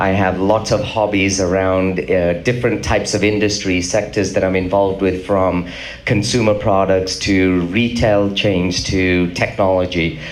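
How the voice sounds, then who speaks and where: Delivered at a moderate pace with hardly any pauses, the monotone, flat speech holds very even loudness amid noticeable background noise and audible room echo. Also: man, very deep, low pitch for a man. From England. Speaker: business executive. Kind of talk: panel discussion.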